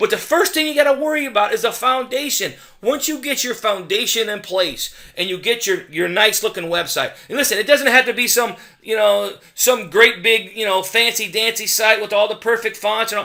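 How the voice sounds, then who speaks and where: A man's raised, projected voice sounds high in pitch, with a bright, sharp, animated tone, a fairly quick pace and ordinary pitch variation. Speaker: digital marketing consultant. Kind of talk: sales pitch. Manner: fast.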